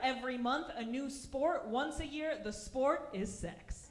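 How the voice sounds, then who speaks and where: A woman's high voice in an American accent, with audible room echo and noticeable background noise. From Russia. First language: Russian. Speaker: stand-up comedian. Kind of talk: stand-up. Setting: stage with audience.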